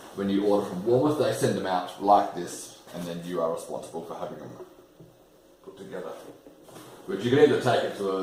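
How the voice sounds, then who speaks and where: In a room with audible echo and noticeable background noise, a man with a fairly low pitch speaks with an Australian accent. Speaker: bass builder and video maker. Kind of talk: unboxing tutorial. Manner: animated.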